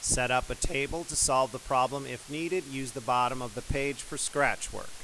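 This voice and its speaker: Over noticeable background noise, a man of medium pitch talks at a moderate pace with fairly even intonation. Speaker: math teacher. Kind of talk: tutorial.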